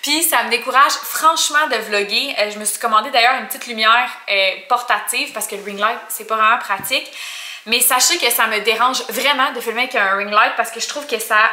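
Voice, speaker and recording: In a room with audible echo, a woman talks at a fairly quick pace with ordinary pitch variation and big swings in loudness. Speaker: vlogger. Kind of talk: casual vlog chat. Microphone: phone near.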